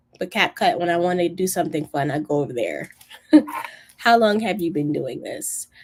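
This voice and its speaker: This woman has an ordinary speaking voice, fairly low in pitch. She talks at a moderate pace with lively intonation. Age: 20s. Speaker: YouTube coach and video editor. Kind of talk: live stream Q&A. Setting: live stream. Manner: casual, many fillers.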